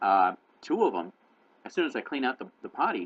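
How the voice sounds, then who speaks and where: A man is heard in a dry, close recording with no echo. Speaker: cat blogger and video host. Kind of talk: casual tutorial. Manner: fast; hesitant, many fillers.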